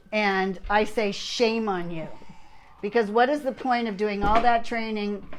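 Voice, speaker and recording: A woman's fairly high, fairly even voice at a fairly slow pace, with noticeable background noise and audible room echo. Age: 60s. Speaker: fitness competitor and channel host. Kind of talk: casual chat.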